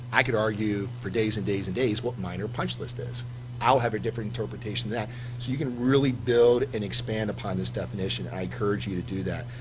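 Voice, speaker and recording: Very fast in pace, a man speaks at a fairly low pitch amid audible room echo. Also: ordinary pitch variation. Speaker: lawyer on a panel. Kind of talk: presentation.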